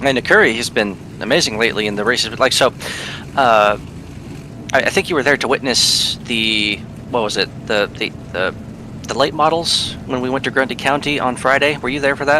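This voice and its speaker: Fairly quick speech broken by long, frequent pauses, ordinary pitch variation, and noticeable background noise. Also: man, medium pitch for a man. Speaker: race co-commentator. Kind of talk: live race commentary. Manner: fast.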